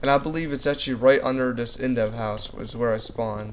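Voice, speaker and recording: A man's medium-pitched voice, monotone and flat, at a fairly quick pace over noticeable background noise. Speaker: gaming youtuber. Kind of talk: gameplay commentary. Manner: fast; casual.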